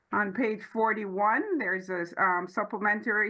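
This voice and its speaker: At a moderate pace, a woman with an unremarkable speaking voice talks at a medium pitch. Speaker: auditor presenting financial statements. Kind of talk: financial report presentation at council meeting. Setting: town council meeting.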